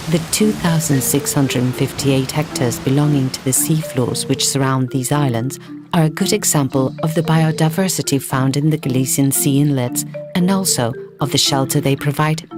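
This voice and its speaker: Over music in the background, a woman speaks in a very deep, low voice. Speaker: voice actor. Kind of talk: documentary narration. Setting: studio.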